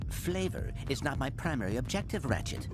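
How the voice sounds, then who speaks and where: A cartoonish character voice at a fairly quick pace over loud background noise. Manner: formal, precise.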